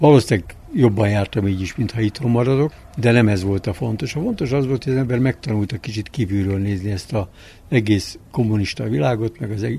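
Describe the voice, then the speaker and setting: Fairly quick and somewhat breathy, a man with a medium pitch and a dark, mellow tone speaks with lively intonation. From Budapest, Hungary. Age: 70s. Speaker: winemaker. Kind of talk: interview. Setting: outdoors on a terrace.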